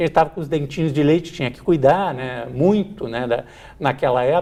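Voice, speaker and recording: Spoken in a plain, everyday voice at a moderate pace, the delivery has ordinary pitch variation. Loudness swings a lot. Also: man, fairly high pitch for a man. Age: 50s. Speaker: TV show host. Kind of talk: TV interview. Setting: TV studio.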